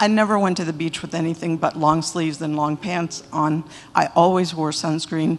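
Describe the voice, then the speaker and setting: A woman speaks in a plain, everyday voice of fairly low pitch. Her intonation stays fairly even at a moderate pace. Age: 60s. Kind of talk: testimonial talk to audience.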